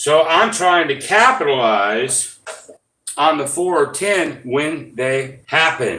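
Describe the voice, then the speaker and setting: A man mumbles at a fairly high pitch, his tone bright and sharp. His pitch varies in an ordinary way, and the room echo is audible. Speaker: gambling YouTuber. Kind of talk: live stream casual explanation. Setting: live stream. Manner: mumbling; hesitant, many fillers.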